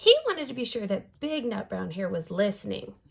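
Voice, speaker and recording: A raspy put-on character voice from a woman, medium in pitch, at a fairly quick pace. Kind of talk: bedtime story. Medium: read story.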